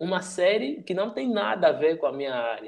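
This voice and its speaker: A man's plain, everyday voice at a moderate pace, with lively intonation. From Angola. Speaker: youtuber and digital strategist. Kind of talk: casual chat.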